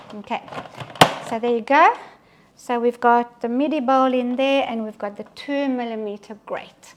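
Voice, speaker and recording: A woman with a high pitch speaks with long, frequent pauses over noticeable background noise. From Belgian Congo and Belgium, Italian parents. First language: French. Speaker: cooking demonstrator. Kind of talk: live cooking demonstration. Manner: casual, with frequent fillers.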